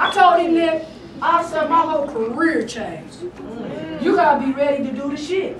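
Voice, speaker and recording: A woman speaks at a high pitch and moderate pace with ordinary pitch variation. Noticeable background noise and audible room echo fill the recording. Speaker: guest preacher. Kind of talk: sermon.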